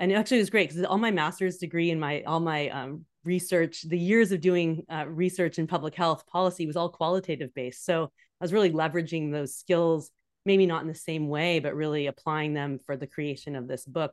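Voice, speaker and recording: In a Californian accent, a woman speaks with a fairly low pitch and ordinary pitch variation. She leaves hardly any pauses. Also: fairly quick pace, quiet background. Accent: General American (Californian). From US West Coast, San Francisco Bay Area. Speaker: leadership coach. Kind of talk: interview.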